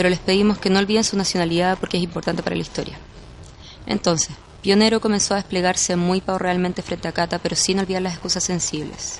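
Over noticeable background noise, a woman speaks very fast at a medium pitch with monotone, flat intonation. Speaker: podcast narrator. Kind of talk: scripted narration.

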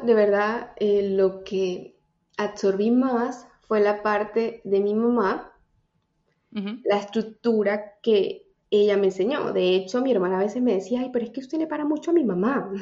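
An ordinary speaking voice delivers the words at a fairly slow pace. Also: woman, fairly high pitch for a woman, ordinary pitch variation. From Venezuela, Táchira. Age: 30s. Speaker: personal development coach. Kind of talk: casual interview.

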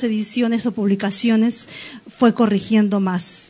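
A woman's fairly high voice, an unremarkable speaking voice, at a moderate pace. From Peru, Lima. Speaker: poet and writer. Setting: studio.

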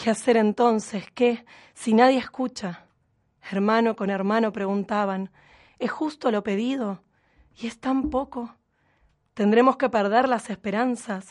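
A woman speaks at a fairly high pitch and a fairly slow pace, with fairly even intonation. Long, frequent pauses break up her speech against a quiet background. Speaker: radio host. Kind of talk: scripted narration; casual chat.

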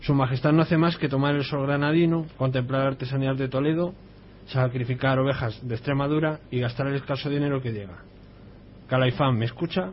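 This is an ordinary speaking voice. It moves at a fairly quick pace with fairly even intonation. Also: man, medium pitch for a man. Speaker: community radio contributor. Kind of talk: reading aloud.

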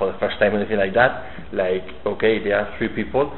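A man with a Spanish accent speaks in a fairly low, monotone, flat voice. Audible room echo and noticeable background noise surround him. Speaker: metal magazine interviewer. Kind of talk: interview. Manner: halting.

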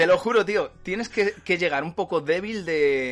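A man is speaking. His intonation is lively. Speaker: podcast host. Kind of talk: casual chat. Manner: animated.

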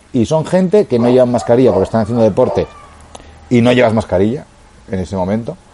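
A man with a medium pitch talks at a very fast pace with lively intonation, breaking into long, frequent pauses amid noticeable background noise. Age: 30s. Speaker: podcast co-host, amateur cyclist. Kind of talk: casual chat.

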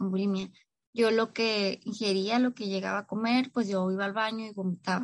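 Monotone and flat, a woman speaks in a northern Mexican accent. Her pitch is fairly high and her pace fairly quick. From Mexico, Tijuana, Baja California. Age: 20s. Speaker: psychologist sharing recovery story. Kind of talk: personal testimony interview.

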